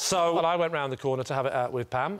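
Ordinary pitch variation and a fairly quick pace from a man. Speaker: comedian panelist. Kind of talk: comic anecdote storytelling. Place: stage. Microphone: lapel.

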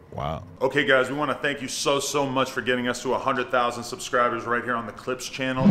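Loud background noise behind a man's voice at a moderate pace. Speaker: channel host. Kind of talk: casual vlog chat. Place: office.

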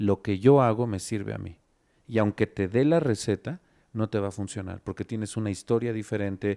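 A dark, mellow tone at a moderate pace, with ordinary pitch variation over a quiet background. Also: man, fairly low pitch for a man. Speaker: company director; guest. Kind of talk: casual chat. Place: studio. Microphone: handheld.

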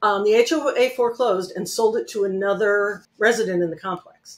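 A woman speaks in an American accent. Her intonation is lively. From Connecticut, US. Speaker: real estate note investor; guest. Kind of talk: casual interview. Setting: video call. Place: home room. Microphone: webcam.

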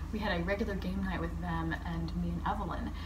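Very deep and low in pitch, a woman talks at a fairly quick pace with ordinary pitch variation. Noticeable background noise is present. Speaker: queer artist vlogger. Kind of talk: casual vlog chat. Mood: warm, reflective, grateful. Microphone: phone near.

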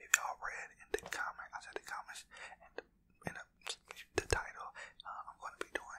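Whispering, a man speaks at a fairly quick pace. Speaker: ASMR creator. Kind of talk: casual vlog chat. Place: home room. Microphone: studio mic.

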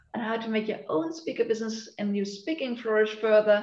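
A woman's voice carries audible room echo against a quiet background. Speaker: session host. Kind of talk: webinar host introduction. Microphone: video call.

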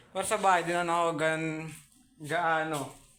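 A man at a moderate pace, with audible room echo. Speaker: YouTuber. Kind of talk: casual vlog update. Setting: at home. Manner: halting.

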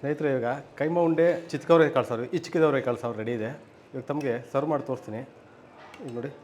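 Using a normal speaking voice, a man talks with ordinary pitch variation and big swings in loudness. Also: fairly high pitch for a man. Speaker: restaurant cook. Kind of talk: cooking demonstration.

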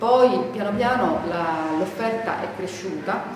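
A woman's voice with ordinary pitch variation, audible room echo and noticeable background noise. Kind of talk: interview answer. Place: bar.

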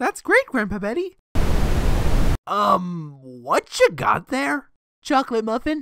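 This is a cartoonish character voice with a fairly bright tone. It moves at a slow pace with very wide pitch swings. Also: woman, fairly high pitch for a woman.

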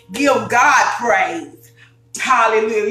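Faint music plays in the background, and the room echo is clearly audible. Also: woman. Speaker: cooking show host. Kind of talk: preaching intro to a cooking vlog. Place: kitchen. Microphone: phone near.

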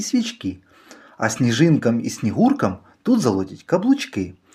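An animated, playful, somewhat breathy delivery at a fairly slow pace with very wide pitch swings, on a very clean recording with a silent background. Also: man. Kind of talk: poetry reading, playful children's verse read aloud. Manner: animated, rhythmic, sing-song storytelling; playful, whimsical, with shifts of tone for the cat's lines.

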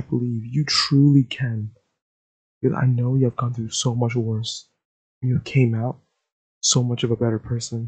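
A somewhat breathy male voice, monotone and flat, at a moderate pace against a quiet background. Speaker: audio roleplay voice actor. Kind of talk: roleplay voicemail monologue. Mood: warm, comforting, wholesome.

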